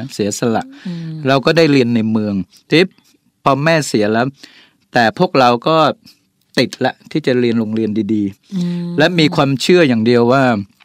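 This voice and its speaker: A man speaks at medium pitch with lively intonation in a plain, everyday voice. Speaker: business CEO. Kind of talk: radio interview. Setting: radio studio.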